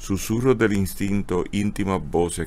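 A man at a fairly slow pace. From Puerto Rico. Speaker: host of a book club show. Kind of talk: casual live broadcast, hosting. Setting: outdoors at a bookstore street, live stream. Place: shop.

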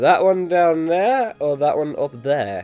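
A man speaks with music in the background. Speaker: gaming video commentator. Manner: casual, chatty, self-deprecating.

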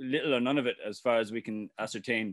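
Speaking very fast in a flat monotone, a man with an Irish accent uses a medium pitch, and the sound is dry with no echo. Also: quiet background. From Ireland. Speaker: farmer and activist. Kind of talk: presentation. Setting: video call. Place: home room. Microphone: webcam.

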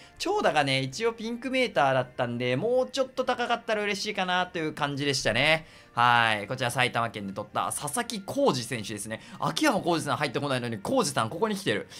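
In a very clean recording with a silent background, a man with a bright, sharp tone and fairly high pitch talks at a fairly quick pace, swinging his pitch very widely and hardly pausing. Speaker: gaming YouTuber. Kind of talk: game commentary. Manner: animated.

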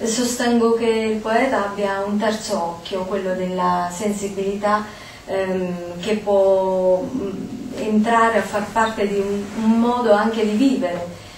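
A woman at a very slow pace, medium in pitch with fairly even intonation, over noticeable background noise. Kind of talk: poetry reading. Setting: stage with audience.

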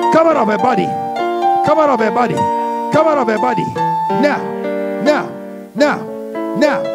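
Loud music fills the background as the speaker goes at a fairly slow pace. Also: man. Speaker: deliverance preacher / prayer minister. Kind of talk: charismatic deliverance prayer / spiritual warfare preaching. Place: church. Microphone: handheld.

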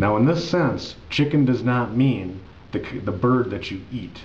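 With an American accent, a man talks at a moderate pace. Light background noise can be heard. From United States. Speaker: English tutor. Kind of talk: ESL lesson talk to camera. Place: home room. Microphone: webcam.

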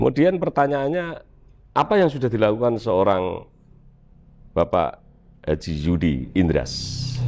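Faint music plays behind a man who speaks at a fairly slow pace with long, frequent pauses. His pitch swings very widely while his loudness stays very even. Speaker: podcast host. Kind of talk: interview. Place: garage. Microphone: lapel.

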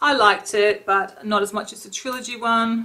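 With an Australian accent, a woman talks at a moderate pace in a fairly high pitch and a bright, sharp tone. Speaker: beauty vlogger. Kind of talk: casual product review vlog. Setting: home, talking to camera. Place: home room. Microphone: webcam.

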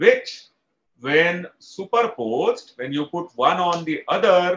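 A man with a high voice for a male, slightly husky at the edges, a fairly bright tone, big swings in pitch and a slow pace

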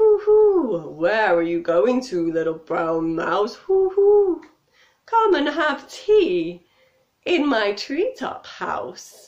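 Using a put-on character voice, a woman talks at a very slow pace in a high pitch with very wide pitch swings. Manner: hooting.

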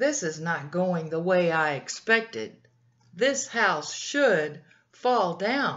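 A female-sounding voice uses a put-on character voice at a middle pitch and a very slow pace. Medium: read story. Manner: sly, threatening.

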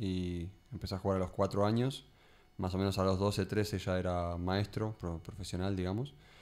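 A man talks at a moderate pace. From Argentina, Buenos Aires. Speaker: chess grandmaster and coach; coach. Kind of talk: radio interview. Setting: radio studio. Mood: calm, friendly. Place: studio. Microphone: studio mic.

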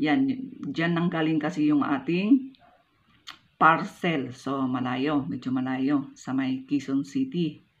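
In a Filipino accent, a woman speaks at a very slow pace with a very deep, low pitch and ordinary pitch variation. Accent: stiff, non-Manila Filipino pronunciation. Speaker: vlogger. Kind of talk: tutorial. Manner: occasionally stumbling over words. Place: home room. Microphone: phone near.

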